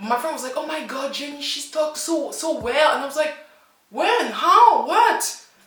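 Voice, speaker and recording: In an animated tone, a woman uses a raised, projected voice at high pitch and a moderate pace, with audible room echo and noticeable background noise. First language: French. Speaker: language teacher and YouTuber. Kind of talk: casual reaction vlog.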